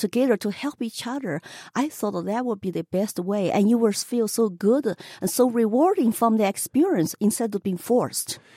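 Spoken at a moderate pace with a Chinese accent, the voice has a dark, mellow tone and lively intonation. The sound is dry and close, with no echo. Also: woman. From China. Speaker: political candidate. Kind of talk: radio interview.

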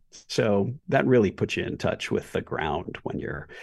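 Speaking at a fairly slow pace, a man's voice carries vocal fry. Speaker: photographer and storytelling professor. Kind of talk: interview. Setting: remote interview.

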